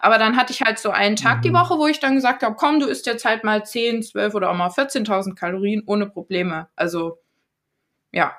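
Fairly quick and lively in intonation, this woman has a normal speaking voice. Her pitch is fairly high. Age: 20s. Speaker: trained teacher and influencer sharing eating disorder story. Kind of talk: casual interview.

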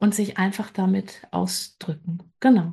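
The background stays quiet. A somewhat breathy voice is heard. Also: woman. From western Germany, Bergisches Land. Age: 50s. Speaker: creative coach. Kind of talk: interview.

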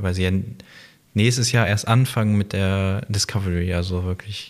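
This is a man speaking. His voice sits fairly low. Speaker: gaming podcast co-host. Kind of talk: casual chat.

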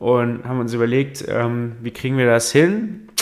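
A man of medium pitch talks at a fairly slow pace. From Saarland, Germany. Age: 20s. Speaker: state politician and podcast co-host. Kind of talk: casual chat.

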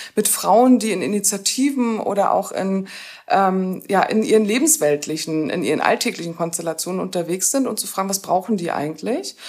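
A woman talks in a normal speaking voice with lively intonation. Her pace is moderate. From northern Germany, Rostock. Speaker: sociologist and university lecturer. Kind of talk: interview about a degree programme. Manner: many filler sounds.

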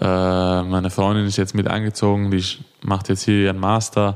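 With a slight Viennese accent, a man speaks at a moderate pace in a fairly low, monotone, flat voice. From Austria, Vienna. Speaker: handball player. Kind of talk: interview.

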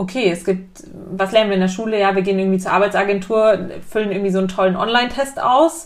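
Her pitch medium and varying in an ordinary way, a woman rushes through her words at a very fast pace. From Munich, Bavaria. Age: 20s. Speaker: workshop leader. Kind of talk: casual interview. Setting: host's living room.

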